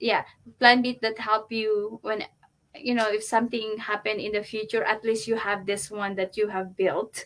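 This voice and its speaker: A woman with a Filipino accent, fairly high in pitch, in a monotone, flat intonation. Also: moderate pace. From Philippines. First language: Tagalog. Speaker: online business entrepreneur. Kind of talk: interview. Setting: live video stream.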